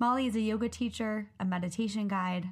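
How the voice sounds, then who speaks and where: At a fairly quick pace, a somewhat breathy woman speaks with fairly even intonation. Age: 20s. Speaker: podcast host. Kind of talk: casual chat.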